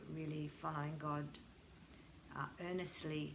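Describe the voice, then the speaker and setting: A woman speaks in a bright, sharp tone with audible room echo. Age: 60s. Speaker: yoga teacher and counsellor. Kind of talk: testimony.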